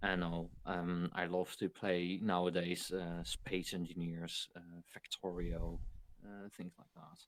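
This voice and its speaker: Delivered at a very slow pace, this voice has a Dutch accent, fairly even intonation, and big swings in loudness. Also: man, very deep, low pitch for a man. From Netherlands. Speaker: video game streamer. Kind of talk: podcast interview. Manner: halting.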